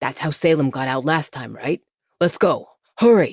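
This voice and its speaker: A man performs a put-on character voice, raspy and fairly high in pitch. He keeps a moderate pace and ordinary pitch variation. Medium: read story. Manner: sneering.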